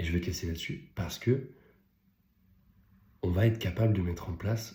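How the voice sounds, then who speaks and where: A man speaks at a moderate pace in a fairly low pitch with ordinary pitch variation. His tone is dark and mellow, and somewhat breathy. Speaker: business coach and content creator. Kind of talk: casual vlog monologue. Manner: halting, with fillers; whispering at times.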